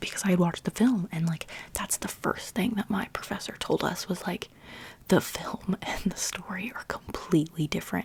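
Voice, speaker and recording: The pace holds moderate. Everything is whispered. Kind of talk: whispered ASMR chat.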